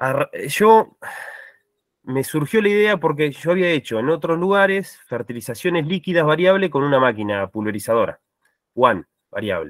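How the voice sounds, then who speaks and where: The man's pitch is fairly high and swings very widely. The sound is dry with no echo against a quiet background. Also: moderate pace. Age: 30s. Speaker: farm agriculture manager; panelist. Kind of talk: online meeting testimony. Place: home room.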